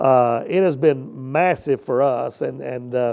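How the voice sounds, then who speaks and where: Someone with an American accent speaks with ordinary pitch variation over a quiet background. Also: man. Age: 50s. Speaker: business owner. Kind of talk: testimonial. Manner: halting, many fillers.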